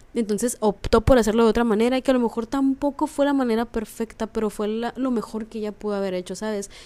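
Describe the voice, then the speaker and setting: Speaking at a very fast pace with hardly any pauses, the voice has a dark, mellow tone and a Mexican accent. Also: woman, fairly high pitch for a woman. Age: 20s. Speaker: podcast host. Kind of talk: casual monologue. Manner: animated.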